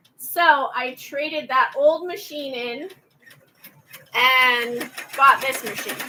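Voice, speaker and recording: A woman speaks in a raised, projected voice at a high pitch, very slowly and with long, frequent pauses. Her loudness swings widely, while her pitch varies in an ordinary way. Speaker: craft channel owner, embroidery maker. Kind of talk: casual craft vlog chat while working. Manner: halting, stumbling over words.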